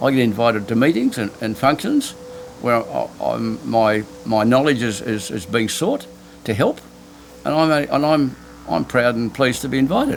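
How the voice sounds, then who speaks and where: Over music in the background, a speaker with an Australian accent talks at a moderate pace. The pitch variation is ordinary. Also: man, medium pitch for a man. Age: 70s. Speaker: island hermit, ex-businessman. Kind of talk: interview answer.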